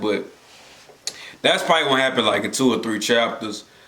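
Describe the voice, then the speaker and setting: A man speaks at medium pitch. Noticeable background noise and audible room echo are present. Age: 20s. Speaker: anime reaction youtuber. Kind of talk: casual reaction commentary. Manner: casual, halting with repetitions.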